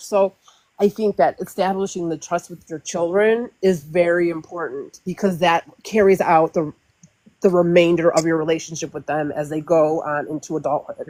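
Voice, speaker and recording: A woman puts on a character voice that is shaky and fairly low, at a moderate pace with fairly even intonation. Her loudness swings widely in a dry, close sound with no echo. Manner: shaky, trembling voice.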